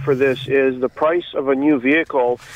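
Monotone, flat delivery at a moderate pace against noticeable background noise. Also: man. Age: 50s. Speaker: caller, DIY car hobbyist. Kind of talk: radio call-in.

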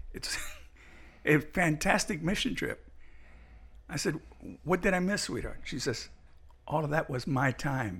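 A man's fairly high voice with lively intonation and vocal fry, at a fairly slow pace with long, frequent pauses. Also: very clean recording, silent background. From Cuba, raised Miami. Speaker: pastor. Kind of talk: casual chat.

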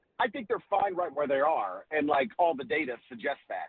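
A man talks in a plain, everyday voice. He moves at a fairly quick pace with lively intonation. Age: 40s. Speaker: college basketball writer. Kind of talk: radio interview.

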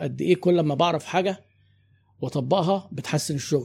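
The man's voice is somewhat breathy, with a dark, mellow tone at a fairly high pitch. He talks at a moderate pace. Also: very clean recording, silent background. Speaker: business consultant and marketing trainer. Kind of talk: interview conversation.

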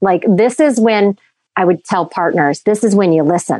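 A woman uses a normal speaking voice at a medium pitch and a moderate pace, with lively intonation. The sound is dry and close, with no echo. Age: 40s. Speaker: well-being doula. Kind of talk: casual interview chat.

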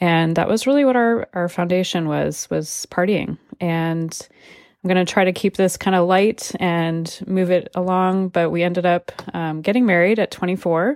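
A woman talks at a moderate pace in an ordinary speaking voice, fairly low in pitch with ordinary pitch variation. The recording is very clean, with a silent background and a dry, close sound with no echo. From California, moved often. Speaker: podcast host and life coach. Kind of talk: personal testimony. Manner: casual, conversational with many fillers.

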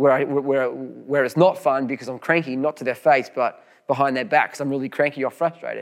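Here a man speaks in an Australian accent. His pitch is fairly high. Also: very clean recording, silent background. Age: 40s. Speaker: pastor. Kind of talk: sermon. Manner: halting, frequent repetitions.

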